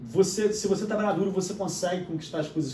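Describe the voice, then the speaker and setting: A man speaks with a Rio de Janeiro accent and ordinary pitch variation. Audible room echo and noticeable background noise fill the recording. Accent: Carioca Brazilian Portuguese. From Brazil, Rio de Janeiro. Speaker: podcast guest. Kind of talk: casual chat.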